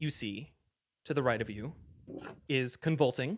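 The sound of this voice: Against a quiet background, the clip features an unforced reading voice.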